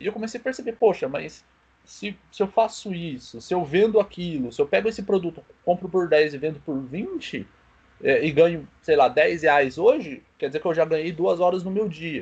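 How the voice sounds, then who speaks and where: A man's high voice carries a lively intonation. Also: moderate pace. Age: 20s. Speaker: small business owner. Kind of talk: casual chat.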